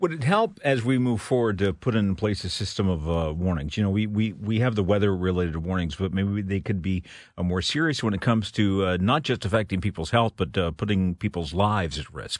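In a normal speaking voice, a man talks at a fairly quick pace and fairly low pitch with ordinary pitch variation against a quiet background. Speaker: radio host. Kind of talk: radio interview.

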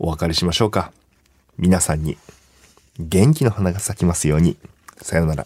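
Very deep and low, a man's dark, mellow voice moves at a moderate pace with ordinary pitch variation. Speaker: radio host and comedian. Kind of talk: casual chat.

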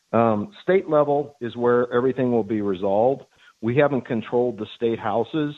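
Here is a normal speaking voice: a man with an American accent at a moderate pace. His pitch is medium for a man, with ordinary pitch variation. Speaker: caller. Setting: phone call.

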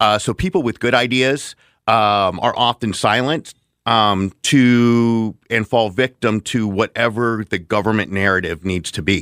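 Recorded very cleanly against a silent background, the dry, close sound with no echo carries a man speaking at medium pitch and a fairly slow pace with ordinary pitch variation. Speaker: political candidate. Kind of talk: radio interview. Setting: studio. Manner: halting.

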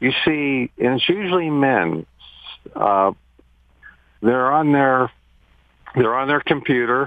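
Speaking at a very slow pace with long, frequent pauses, a man uses lively intonation at a medium pitch and very even loudness. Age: 70s. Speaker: caller. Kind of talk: radio call-in question. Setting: phone call. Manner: halting.

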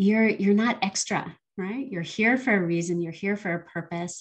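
Somewhat breathy at medium pitch, a woman talks at a moderate pace with ordinary pitch variation. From Canada and Barbados. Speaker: philanthropy advisor. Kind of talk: interview.

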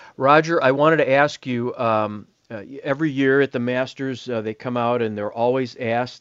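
A normal speaking voice with an American accent, fairly even intonation, and a quiet background. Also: man, dry, close sound with no echo. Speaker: golf magazine editor and radio co-host. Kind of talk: radio show.

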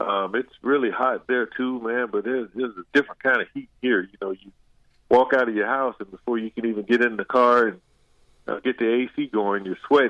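At a fairly quick pace, a man with an American accent talks in an ordinary speaking voice, medium in pitch, with fairly even intonation. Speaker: former football player. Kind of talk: casual interview. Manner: casual, many fillers.

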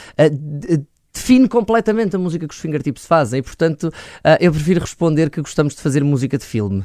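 Recorded very cleanly against silence, with a dry, close sound and no echo, a man with a dark, mellow tone and fairly high pitch talks fairly quickly with very wide pitch swings. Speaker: rock band vocalist. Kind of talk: interview.

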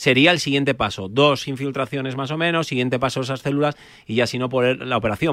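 With fairly even intonation, a man rattles along at a very fast pace. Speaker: osteopath. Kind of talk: expert advice on radio.

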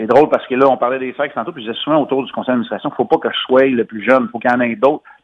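A man has an ordinary speaking voice at a medium pitch. His pitch varies in an ordinary way. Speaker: former hockey player, commentator. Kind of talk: phone interview.

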